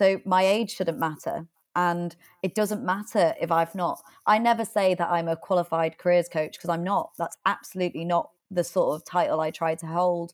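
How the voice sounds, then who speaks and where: A woman with a British accent speaks at a moderate pace and a fairly low pitch, with fairly even intonation. The recording is very clean with a silent background. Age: 20s. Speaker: author and public speaker. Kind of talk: interview.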